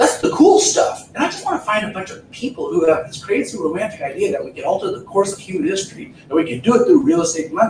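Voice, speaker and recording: Talking very fast with hardly any pauses, a man sounds animated, his loudness swinging widely over noticeable background noise. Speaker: real estate trainer. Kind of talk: seminar talk.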